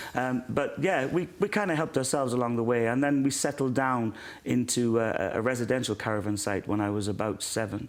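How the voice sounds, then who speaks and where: Speaking at a fairly quick pace with ordinary pitch variation, a man talks in a Welsh accent. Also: medium pitch for a man, hardly any pauses. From South Wales, born in Ireland. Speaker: former singer, now pastor. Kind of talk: interview testimony.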